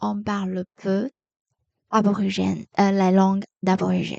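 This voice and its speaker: A woman with a Taiwanese accent speaks at a very slow pace and a medium pitch, her tone dark and mellow. The sound is dry and close, with no echo. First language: Mandarin Chinese (speaking French). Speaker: podcaster, French learner. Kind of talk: educational podcast monologue. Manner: halting, many hesitations.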